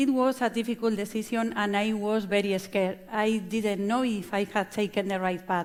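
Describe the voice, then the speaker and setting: With a Spanish accent, a woman talks at a medium pitch and moderate pace in a very clean recording with a silent background. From Spain, La Mancha. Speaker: chef and restaurant owner. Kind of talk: conference talk. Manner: halting.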